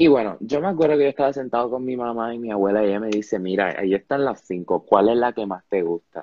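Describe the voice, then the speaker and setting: With lively intonation, a man speaks at a fairly quick pace in a medium pitch. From Panama. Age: young. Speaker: podcast host, student. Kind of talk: casual interview. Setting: live stream. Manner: animated.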